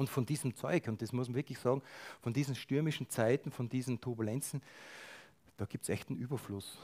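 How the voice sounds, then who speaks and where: The voice is dark, mellow and somewhat breathy, with fairly even intonation at a fairly quick pace. Long, frequent pauses break up the dry, close sound with no echo. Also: man, medium pitch for a man. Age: 50s. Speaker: lay preacher. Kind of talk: sermon.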